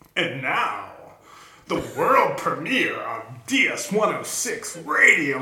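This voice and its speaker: A man in a put-on character voice, very slow pace, slight echo. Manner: smooth, announcer-like.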